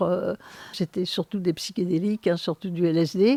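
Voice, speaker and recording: A woman speaks at a medium pitch with a dark, mellow tone and fairly even intonation. Her pace is fairly slow, and the sound is dry and close with no echo. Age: 70s. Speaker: sociologist. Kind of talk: interview. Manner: hesitant, many fillers.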